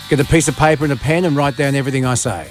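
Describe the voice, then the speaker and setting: A man's voice with music in the background. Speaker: late-night radio host. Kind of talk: radio show host talk. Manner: dry, humorous.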